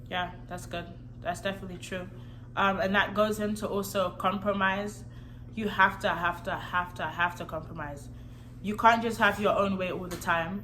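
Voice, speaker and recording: Audible echo from the room surrounds a woman talking at a middling speed. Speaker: married vlogger. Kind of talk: casual chat. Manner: soft-spoken.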